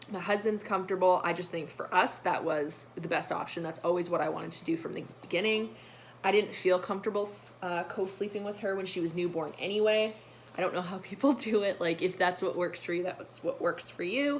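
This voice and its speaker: With a normal speaking voice, a woman talks at a fairly quick pace, medium in pitch with ordinary pitch variation. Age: 20s. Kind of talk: casual talk to camera.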